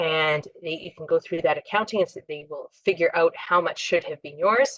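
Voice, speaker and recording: Heard in a dry, close sound with no echo, a normal speaking voice moves at a moderate pace with fairly even intonation. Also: woman. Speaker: employment lawyer. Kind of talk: lecture. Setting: webinar.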